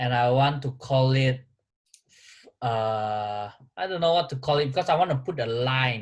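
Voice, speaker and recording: Somewhat breathy, a man at medium pitch speaks with ordinary pitch variation and takes long, frequent pauses. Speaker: vlogger. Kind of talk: casual chat. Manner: slow; halting.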